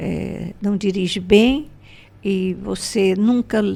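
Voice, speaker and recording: A woman speaks at medium pitch with a dark, mellow tone. Her intonation stays fairly even. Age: 80s+. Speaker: spiritual teacher and entrepreneur. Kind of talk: podcast interview.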